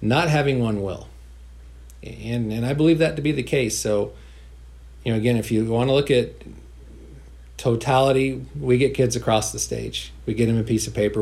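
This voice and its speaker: Speaking with an American accent at a fairly quick pace, a man leaves long, frequent pauses amid audible room echo. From rural northeastern California (Modoc County). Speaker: school superintendent. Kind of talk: interview. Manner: repeats words, halting.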